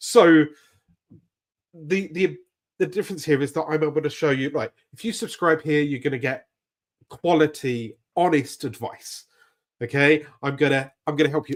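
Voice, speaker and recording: A man speaks with a British accent at a fairly high pitch. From Britain. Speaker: YouTube growth coach. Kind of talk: live stream tutorial. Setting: live stream. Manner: casual, animated.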